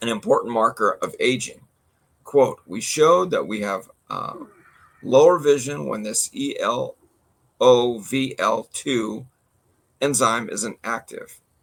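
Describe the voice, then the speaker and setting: Long pauses come often as the speaker proceeds at a fairly slow rate. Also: man. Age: 60s. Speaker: podcast co-host. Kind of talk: casual chat, reading news article aloud. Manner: halting, stumbles over words.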